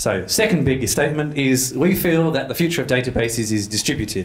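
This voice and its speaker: Talking at a very fast pace with very wide pitch swings, a man is heard with audible room echo and noticeable background noise. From London, England. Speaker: developer advocate. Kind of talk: tech talk. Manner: casual, with filler words.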